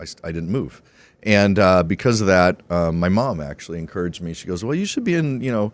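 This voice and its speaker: In a very clean recording with a silent background, a man talks very fast at a very deep, low pitch, with lively intonation and big swings in loudness. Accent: American. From Arizona, US. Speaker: entrepreneur and broadcaster. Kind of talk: podcast interview. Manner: casual, halting with fillers.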